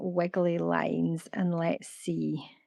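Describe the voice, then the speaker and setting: With a Scottish accent, a woman speaks at a fairly low pitch. Her tone is relaxed and her intonation fairly even. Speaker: artist. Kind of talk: live art stream. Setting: live stream.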